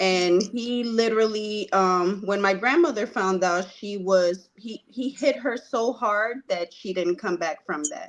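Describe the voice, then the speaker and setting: Speaking at a fairly slow pace with hardly any pauses, a woman has an unremarkable speaking voice, medium in pitch, with lively intonation. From Puerto Rico, moved to Virginia at about eleven. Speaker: guest. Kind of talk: personal testimony.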